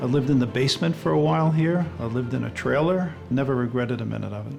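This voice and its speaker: With an American accent, a man talks at a very fast pace in a medium pitch, his voice swinging very widely in pitch while music plays in the background. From Long Island, New York. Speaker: lighthouse keeper. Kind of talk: interview answer.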